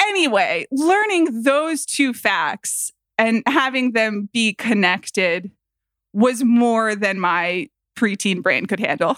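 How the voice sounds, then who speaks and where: A woman's fairly high voice with an American accent, very slow delivery and lively intonation, in a dry, close sound with no echo and a very clean recording over a silent background. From US South, Atlanta, Georgia. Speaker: podcast guest. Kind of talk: casual chat.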